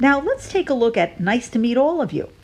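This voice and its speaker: An American-accented woman's voice with very wide pitch swings and noticeable background noise. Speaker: pronunciation teacher. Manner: slow, clear, deliberate.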